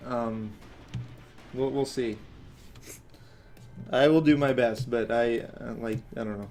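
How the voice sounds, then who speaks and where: Faint music plays in the background as a man talks at a very slow pace, with long, frequent pauses and fairly even intonation. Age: 20s. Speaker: animator and channel owner. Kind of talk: live stream commentary while working. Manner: slurred, sounds drunk; hesitant with many fillers. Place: home room.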